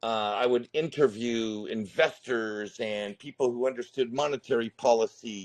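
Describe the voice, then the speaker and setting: Someone with an American accent speaks at a fairly slow pace, with ordinary pitch variation. The sound is dry and close with no echo, over a quiet background. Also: man. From US West (Northern California). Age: 50s. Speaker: retired contractor, crypto YouTuber. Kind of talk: interview.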